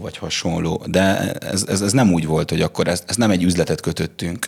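A man talks at a very fast pace. His voice is very deep and low, with ordinary pitch variation. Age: late 20s. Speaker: bartender and barista. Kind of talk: casual interview.

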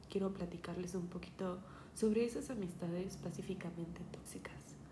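A woman speaks at a moderate pace with a medium pitch and fairly even intonation, with audible room echo and noticeable background noise. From Mexico City. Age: 20s. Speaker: podcaster. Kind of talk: personal monologue podcast. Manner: hesitant, many fillers.

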